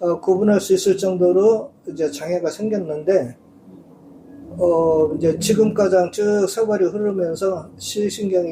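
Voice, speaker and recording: A man talks at a fairly slow pace in a high pitch. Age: 60s. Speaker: blind massage clinic owner. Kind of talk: interview.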